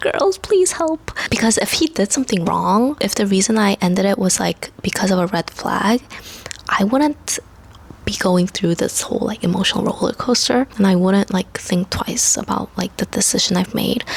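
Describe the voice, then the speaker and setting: Noticeable background noise sits behind a woman of medium pitch with ordinary pitch variation. She keeps a moderate pace and very even loudness. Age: 20s. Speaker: lifestyle vlogger. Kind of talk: casual chat. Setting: at home. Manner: casual, filler-heavy.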